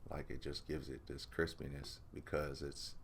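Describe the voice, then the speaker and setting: Vocal fry runs through this relaxed-toned voice, which has ordinary pitch variation and audible room echo. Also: man. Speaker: music producer and mixing engineer. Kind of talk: tutorial. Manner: casual, relaxed.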